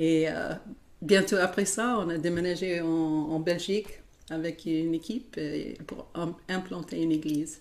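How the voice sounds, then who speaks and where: A woman with an American accent, fairly low in pitch, fairly even intonation, fairly slow pace. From United States. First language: English (speaking French). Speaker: worship musician. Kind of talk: interview. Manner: halting.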